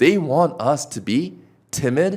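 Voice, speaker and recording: A man's animated tone with vocal fry. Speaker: sales trainer. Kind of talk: casual chat.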